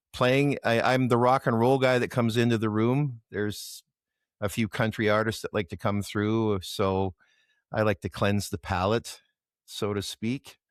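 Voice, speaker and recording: A man with a Canadian accent speaks in a plain, everyday voice at medium pitch and a moderate pace, his intonation fairly even, on a very clean, dry, close recording with no echo and a silent background. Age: 60s. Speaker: bar-circuit rock musician. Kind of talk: casual interview chat.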